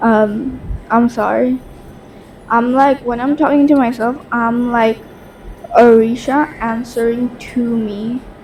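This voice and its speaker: Very slow, flat, monotone speech with long, frequent pauses comes through noticeable background noise. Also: woman, high pitch for a woman. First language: Bangla. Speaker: podcast host. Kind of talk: casual monologue. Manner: halting.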